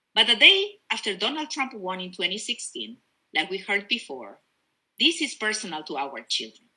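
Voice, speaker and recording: Speaking in a Spanish accent, a woman with a medium pitch and a bright, sharp tone moves at a moderate pace, with very wide pitch swings, big swings in loudness, and vocal fry. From Peru. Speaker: politician. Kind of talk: campaign speech. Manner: passionate.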